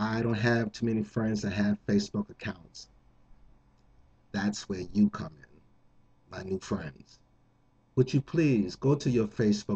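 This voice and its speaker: Somewhat breathy, a man speaks fairly slowly in a fairly low pitch with ordinary pitch variation. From New Jersey, Jersey City. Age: 50s. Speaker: contest entrant. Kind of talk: appeal to viewers.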